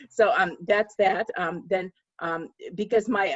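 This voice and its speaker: A woman speaks at medium pitch with a slight Russian accent. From Russia, Moscow. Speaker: author. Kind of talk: panel discussion. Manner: halting, many fillers.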